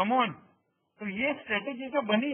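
In an Indian accent, a man speaks at an extremely high pitch with ordinary pitch variation. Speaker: options trading instructor. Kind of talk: webinar lecture. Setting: online webinar. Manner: loud; interactive.

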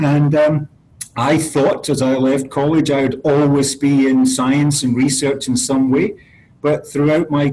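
The voice has a dark, mellow tone and a flat, monotone delivery. It moves at a fairly slow pace. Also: man. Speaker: guest. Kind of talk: interview answer. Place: office. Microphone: webcam.

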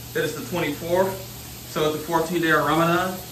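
A man with a Southern US accent speaks at a fairly slow pace. There is audible room echo and light background noise. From US South, Mississippi. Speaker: vlogger. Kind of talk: casual vlog talk to camera. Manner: animated. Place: home room. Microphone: phone near.

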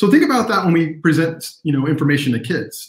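A man with an American accent talks at a very fast pace in a somewhat breathy voice. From Texas. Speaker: illustrator and teacher. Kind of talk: live online workshop. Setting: video livestream.

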